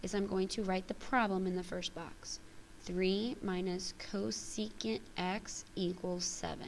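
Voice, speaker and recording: Pitched at a medium level, a woman talks in an unremarkable speaking voice. She speaks at a fairly slow pace with fairly even intonation. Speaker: math teacher. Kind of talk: tutorial.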